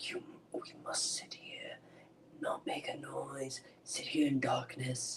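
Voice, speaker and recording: In a put-on character voice, the speaker whispers raspily at a fairly slow pace with long, frequent pauses. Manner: whispering, tense.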